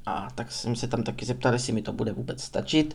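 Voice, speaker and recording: The voice heard is a man's. He speaks in the medium pitch range. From Czech Republic, Prostějov (Moravia). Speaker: podcaster. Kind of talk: unscripted monologue. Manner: rambling, talkative.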